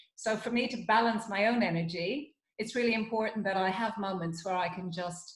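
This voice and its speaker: A woman speaks fairly quickly in a somewhat breathy voice with ordinary pitch variation. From Ireland, Dublin. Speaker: psychologist and wellness consultant. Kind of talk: interview conversation.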